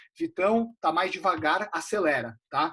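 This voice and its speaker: A man's high-pitched voice. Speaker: investment advisor. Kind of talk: live webinar lecture. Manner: fast; casual, animated.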